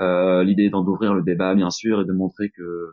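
A man's fairly low voice, a normal speaking voice. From Normandy, France. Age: 30s. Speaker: employee of an energy transition association. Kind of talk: podcast interview.

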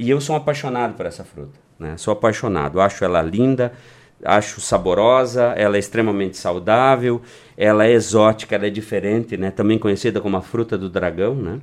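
At a fairly quick pace, a man with a normal speaking voice talks in a fairly low pitch with ordinary pitch variation. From Rio Grande do Sul, Brazil (Vale do Taquari). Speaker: small-town mayor. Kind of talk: radio interview. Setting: radio studio.

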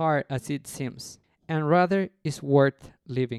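A man speaks with a Mexican accent. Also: dry, close sound with no echo, very clean recording, silent background. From Mexico City. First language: Spanish. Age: 30s. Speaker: podcast host, former cruise ship cook. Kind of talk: personal storytelling.

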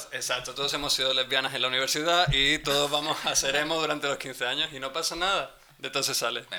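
Hardly pausing, a man speaks at a very fast pace with a fairly high pitch and fairly even intonation over noticeable background noise. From Spain. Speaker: podcast co-host. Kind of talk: casual chat. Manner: reflective.

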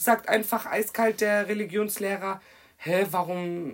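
A woman speaks at a fairly slow pace. Her pitch rises and falls in an ordinary way. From Germany, Kirchheim (Hesse). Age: 20s. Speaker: guest speaking on racism. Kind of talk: casual chat.

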